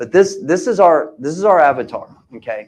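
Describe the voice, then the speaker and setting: Speaking at a moderate pace, a man with an American accent uses high pitch and lively intonation. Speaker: real estate investor and seminar speaker. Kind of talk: live seminar presentation.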